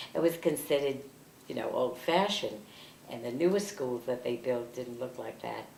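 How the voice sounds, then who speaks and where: A woman with a New York accent speaks at a moderate pace in a very deep, low voice. Her intonation is lively, with big swings in loudness. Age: 80s. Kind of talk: interview answer.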